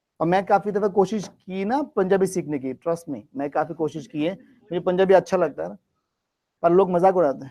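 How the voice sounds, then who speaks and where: With a Bengali accent and a high pitch, a man speaks in a dark, mellow tone with ordinary pitch variation and big swings in loudness, on a very clean recording with a silent background. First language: Bengali (speaking Hindi). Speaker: English test-prep teacher. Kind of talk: classroom teaching.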